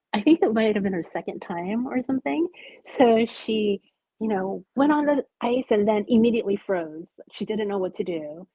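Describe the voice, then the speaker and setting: A woman talks at a moderate pace in a fairly high pitch. Her intonation is lively. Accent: Californian. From US West Coast, Los Angeles. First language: Japanese. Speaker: artist, author and illustrator. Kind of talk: podcast interview. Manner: hesitant, many fillers.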